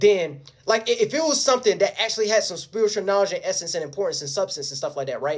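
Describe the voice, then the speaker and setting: Animated in tone, a man speaks at a very fast pace. His intonation is lively. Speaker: video blogger. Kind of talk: casual monologue.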